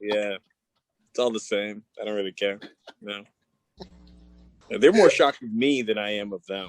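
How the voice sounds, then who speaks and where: Spoken with a Canadian accent at a moderate pace, the speech has fairly even intonation, long, frequent pauses and big swings in loudness, with a dry, close sound and no echo. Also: man, fairly low pitch for a man. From Canada. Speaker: comedian. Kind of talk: casual chat.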